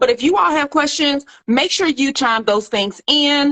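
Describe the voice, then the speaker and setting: A woman with a Southern US accent, moderate pace and ordinary pitch variation. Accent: Southern twang. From US South, Little Rock, Arkansas. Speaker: nutrition doctor and plant-based food entrepreneur. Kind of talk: casual livestream chat. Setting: social media live video. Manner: relaxed, laid-back.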